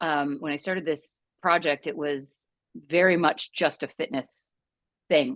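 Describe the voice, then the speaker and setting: Dry and close with no echo, a woman speaks at a very deep, low pitch and moderate pace, with ordinary pitch variation, over a quiet background. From Canada. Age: 50s. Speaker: midlife resilience coach. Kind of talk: podcast interview. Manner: hesitant, many fillers.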